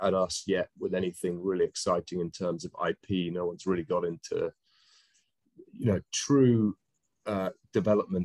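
Over a quiet background, a man speaks with a British accent. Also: dry sound with no echo. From UK. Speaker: cannabis industry investor; panelist. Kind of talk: panel discussion. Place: home room. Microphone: video call.

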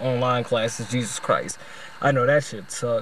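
The intonation stays fairly even. A man delivers it at a fairly quick pace. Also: dry sound with no echo. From US South, Louisiana. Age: 20s. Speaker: video essayist. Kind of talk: video essay monologue. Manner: casual, slangy. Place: car. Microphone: phone near.

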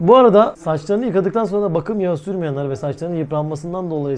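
A man's animated tone at a very fast pace, lively in intonation, with noticeable background noise. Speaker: vlogger. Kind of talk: casual vlog talk.

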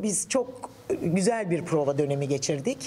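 A woman with light background noise. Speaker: stage actress. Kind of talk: press interview answer. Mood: cheerful, smiling. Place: hall. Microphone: handheld.

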